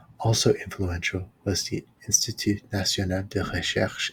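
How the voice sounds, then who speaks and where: A man is whispering. His voice is soft-spoken. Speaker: ASMR channel host, history reader. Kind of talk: ASMR history reading, whispered and soft spoken. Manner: whispered and soft-spoken.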